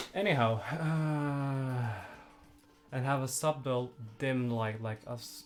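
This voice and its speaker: Someone speaks at a very slow pace with long, frequent pauses amid noticeable background noise. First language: not English. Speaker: livestreamer. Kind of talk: casual chat. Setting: live stream. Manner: halting.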